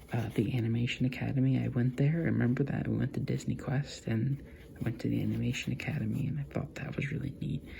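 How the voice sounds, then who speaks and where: A soft-spoken voice races along at a very fast pace over noticeable background noise. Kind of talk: ASMR soft-spoken casual talk to camera.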